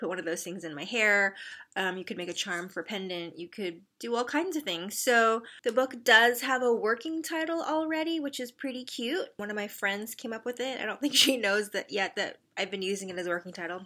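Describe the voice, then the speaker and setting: Over a quiet background, a woman's bright, sharp voice moves through very wide pitch swings. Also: fairly quick pace. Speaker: craft vlogger. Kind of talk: casual vlog chat. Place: home room. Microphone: phone near.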